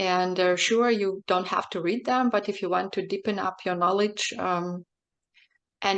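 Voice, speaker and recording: A woman speaks with a Belarusian accent in a monotone, flat intonation. The background is quiet. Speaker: poet and translator. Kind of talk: panel interview. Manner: halting, many fillers.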